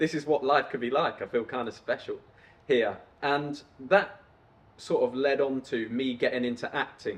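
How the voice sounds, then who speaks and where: Speaking at medium pitch, a man talks with an English accent. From England (Coventry, Peterborough). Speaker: YouTuber, entrepreneur. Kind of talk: personal storytelling monologue. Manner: casual.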